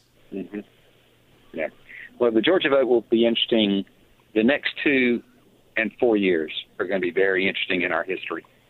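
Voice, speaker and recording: Long, frequent pauses break up a man's fairly quick speech, pitched medium with ordinary variation. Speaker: caller. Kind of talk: call-in talk radio. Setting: phone call.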